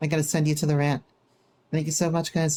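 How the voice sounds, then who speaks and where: In a relaxed tone, a woman speaks with a fairly low pitch and monotone, flat intonation. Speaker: vtuber streamer. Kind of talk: casual live stream chat. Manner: casual, relaxed.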